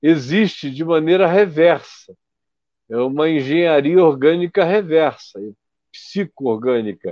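A man's fairly high voice with lively intonation. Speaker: pastor. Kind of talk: interview conversation on faith and healing. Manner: long-winded explanations.

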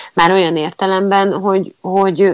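A woman is speaking. Her pace is moderate. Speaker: theatre audio describer, former teacher. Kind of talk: interview. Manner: halting.

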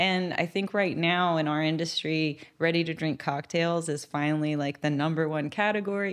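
Recorded very cleanly against a silent background, a woman has an unremarkable speaking voice at a fairly low pitch. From Middle East (Kuwait and Syria), British parents; moved to Texas 1998 as a child. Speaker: beverage company founder. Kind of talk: interview.

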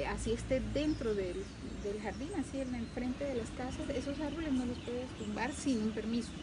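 A woman speaks at a moderate pace and a high pitch with ordinary pitch variation, amid noticeable background noise and audible room echo. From Venezuelan Andes (Mérida). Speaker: humanitarian foundation founder. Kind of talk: casual interview. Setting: outdoors on the street. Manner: hesitant with repeated words.

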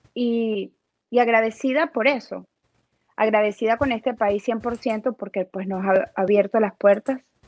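Her pitch fairly high, a woman speaks at a fairly slow pace with fairly even intonation in a dry, close sound with no echo. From Venezuela, Aragua state (Cagua). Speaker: motivational speaker and magazine founder. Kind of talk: interview.

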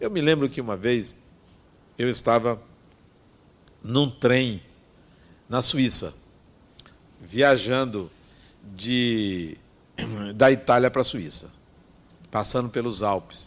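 A man speaks at a very slow pace with a medium pitch. His delivery is broken by long, frequent pauses. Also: ordinary pitch variation. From Brazil, Bahia interior. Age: 60s. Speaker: spiritist speaker. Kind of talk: spiritual talk.

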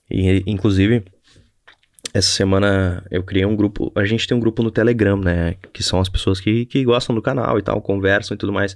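The man's fairly low voice keeps a fairly even intonation and a moderate pace. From Brazil, Rio Grande do Sul (Novo Hamburgo). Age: 20s. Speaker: podcaster and YouTuber, entrepreneur. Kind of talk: casual solo monologue. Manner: halting, repeats words.

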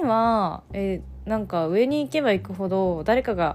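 A woman is speaking. Her pace is fairly slow. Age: 20s. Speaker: podcast host. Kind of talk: casual monologue.

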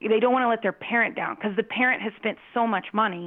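A woman with an American accent, very fast pace, and ordinary pitch variation. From US Southwest, Phoenix. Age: 40s. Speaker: parent and youth soccer coach. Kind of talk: casual chat. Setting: call.

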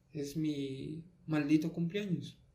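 His voice sits fairly high, with a dark, mellow tone and fairly even intonation. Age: 20s. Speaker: podcast host. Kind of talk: personal monologue. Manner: halting.

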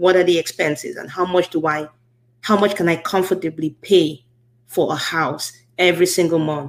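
Intonation stays fairly even at a moderate pace. The sound is a plain, everyday voice. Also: woman, fairly low pitch for a woman. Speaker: podcast host. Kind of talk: casual interview, podcast host. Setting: live-streamed show, online.

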